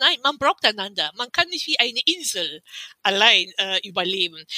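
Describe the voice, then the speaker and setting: Her voice raised and projected, a woman talks at a fairly quick pace with very wide pitch swings, in a dry, close sound with no echo. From Cameroon. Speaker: activist and publisher. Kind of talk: interview.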